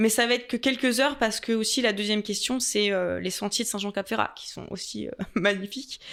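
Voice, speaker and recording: A woman's fairly high voice in a slight Franche-Comté accent, at a fairly quick pace with fairly even intonation. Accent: slight Franc-Comtois. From Franche-Comté, France. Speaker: tourist office adviser and content creator. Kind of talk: podcast interview. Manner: hesitant, many fillers.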